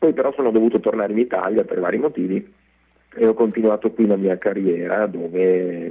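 A man's fairly low-pitched, plain, everyday voice with ordinary pitch variation. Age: 40s. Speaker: actor. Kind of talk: radio interview.

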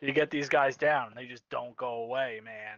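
Speaking fairly slowly with an East Coast US accent, a man keeps his medium-pitched voice at a fairly even intonation. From US East Coast. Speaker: esports caster, co-commentator. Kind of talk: live commentary.

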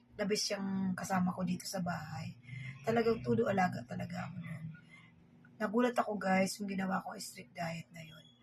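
Her loudness swinging widely, a woman with vocal fry speaks at a fairly quick pace. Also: medium pitch for a woman, lively intonation. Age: 50s. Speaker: vlogger. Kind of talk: casual vlog talk while eating. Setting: at home, filming herself at dinner.

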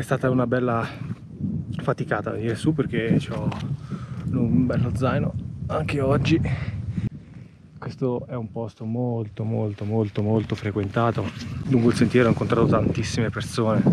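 Amid loud background noise, a man talks at a moderate pace with long, frequent pauses, in a dry sound with no echo. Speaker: outdoor vlogger. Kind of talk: casual vlog chat. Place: open country. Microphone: phone near.

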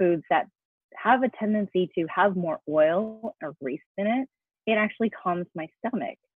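A woman with an ordinary speaking voice, medium pitch, lively intonation, and an American accent. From US, New York. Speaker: cooking show host and actress. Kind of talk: interview podcast.

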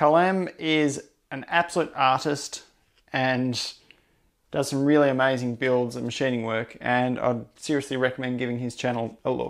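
Against a quiet background, a man with an Australian accent talks at a fairly high pitch. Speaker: machinist and maker YouTuber; maker YouTuber. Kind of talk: video narration / workshop update. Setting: home workshop. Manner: fast-paced. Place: workshop. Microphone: lapel.

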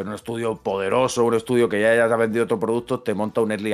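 A man's unremarkable speaking voice, medium in pitch and at a fairly quick pace. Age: 30s. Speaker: video game podcast co-host. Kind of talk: casual chat. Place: home room. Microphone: studio mic.

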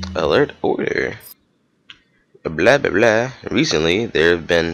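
A man at a fairly low pitch and a moderate pace. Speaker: gamer. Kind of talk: gameplay commentary, casual and profane. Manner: excitable, swears a lot.

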